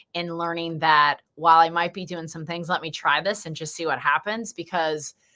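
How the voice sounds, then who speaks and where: The voice sounds animated, with a bright, sharp tone. The recording is very clean, with a silent background. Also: woman. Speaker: lymphatic health educator. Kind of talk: podcast interview.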